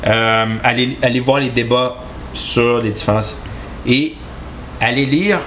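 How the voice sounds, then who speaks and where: At a fairly slow pace, a man speaks with a medium pitch and ordinary pitch variation over noticeable background noise. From Quebec, Chibougamau. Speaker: podcast co-host. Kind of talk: casual chat about politics.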